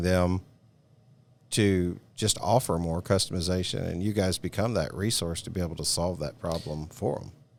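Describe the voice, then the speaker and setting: A man with a Southern US accent speaks at a very deep, low pitch with ordinary pitch variation. The recording is very clean, the background silent. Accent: southern drawl. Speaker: podcast host. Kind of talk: casual interview.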